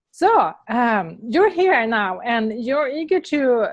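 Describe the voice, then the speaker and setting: A woman with a Swedish accent, fairly high-pitched, with very wide pitch swings against a quiet background. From Sweden. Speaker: interviewer. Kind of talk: interview.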